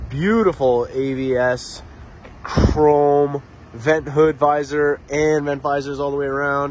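A man speaks at a very slow pace with a fairly high pitch. The sound is dry with no echo, and light background noise is present. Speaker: car salesman. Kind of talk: sales pitch. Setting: outdoors at car lot, walkaround video. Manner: enthusiastic, repeating superlatives like 'beautiful' and 'absolutely'. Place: street. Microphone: phone near.

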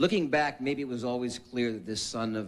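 A man talks, his pitch rising and falling in an ordinary way. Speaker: presenter. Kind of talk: formal tribute speech. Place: hall. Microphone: podium.

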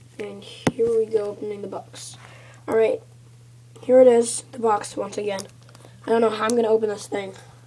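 Over noticeable background noise, a woman speaks at a moderate pace with long, frequent pauses, fairly even intonation, and big swings in loudness. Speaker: YouTube gamer. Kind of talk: video unboxing, casual.

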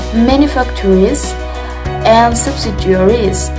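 Clear music plays in the background as a woman with an Indonesian accent speaks at a very slow pace. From Solo, Central Java, Indonesia. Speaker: university student. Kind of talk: class presentation on a company. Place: home room. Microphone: phone near.

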